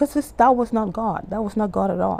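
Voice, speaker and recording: A woman's dark, mellow tone in a Bahamian accent. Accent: Bahamian-tinged English. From Bahamas. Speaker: YouTuber and life coach. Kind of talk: testimony. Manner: conversational, halting with self-corrections.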